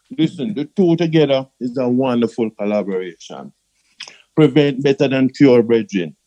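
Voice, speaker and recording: A man's medium-pitched voice with a dark, mellow tone, fairly slow pace and ordinary pitch variation, in a dry, close sound with no echo. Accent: Jamaican. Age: 60s. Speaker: customer giving testimony. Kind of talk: testimony.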